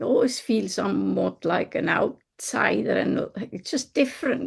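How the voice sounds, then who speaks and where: This woman talks at a fairly slow pace with a non-native accent. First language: not English. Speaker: linguist and developmental researcher. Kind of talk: interview.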